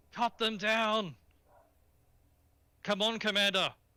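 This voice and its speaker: A man adopts a put-on character voice, pitched high and delivered at a fairly slow pace. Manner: shouting, commanding.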